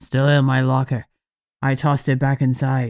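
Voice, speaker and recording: A man puts on a character voice at a medium pitch. He goes at a moderate pace with monotone, flat intonation. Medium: read story.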